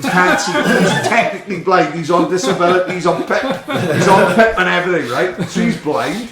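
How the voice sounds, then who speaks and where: There is audible room echo as a man with a South Wales accent talks at a moderate pace. His pitch is high, with ordinary pitch variation. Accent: South Wales Welsh English. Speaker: grassroots footballer, podcast guest. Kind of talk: casual chat. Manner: animated.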